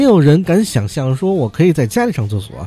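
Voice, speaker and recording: A man talks fairly quickly, and noticeable background noise is present. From Beijing. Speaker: podcast host. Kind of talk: casual news commentary monologue. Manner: frequent fillers and hesitations.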